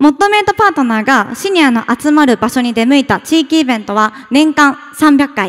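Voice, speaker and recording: Against a quiet background, a woman speaks at a moderate pace. Her voice sits high in pitch. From Tokyo, Japan. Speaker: startup founder. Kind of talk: pitch presentation. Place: hall. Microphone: podium.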